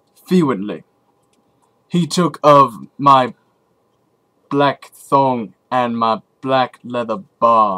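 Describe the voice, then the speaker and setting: In a put-on character voice, a man speaks at a medium pitch and a very slow pace, with long, frequent pauses. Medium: read story. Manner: deadpan, dry, unhurried.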